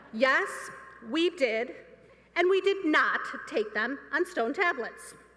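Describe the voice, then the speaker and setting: A woman's raised, projected voice with an American accent, very wide pitch swings and a very slow pace. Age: 50s. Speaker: student speaker. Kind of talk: commencement speech. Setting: stage with audience.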